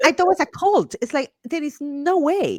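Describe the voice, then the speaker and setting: Recorded with a dry, close sound with no echo, a woman speaks at a fairly quick pace in a Guatemalan accent. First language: Spanish. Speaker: Spanish teacher and homeschool mom. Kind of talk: podcast interview. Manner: animated.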